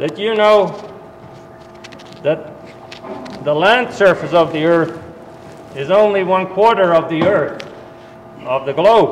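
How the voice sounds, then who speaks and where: Amid noticeable background noise and audible room echo, a man with a high pitch speaks at a very slow pace with ordinary pitch variation and long, frequent pauses. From Netherlands. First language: Dutch. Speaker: university soil management specialist. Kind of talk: talk to farmers at a winter meeting.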